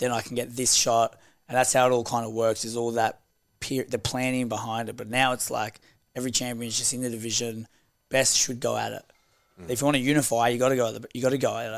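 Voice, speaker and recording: Very fast and monotone with flat intonation, this voice has an Australian accent on a very clean recording with a silent background. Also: man, medium pitch for a man. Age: 20s. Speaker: professional boxer and gym owner. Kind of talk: casual chat.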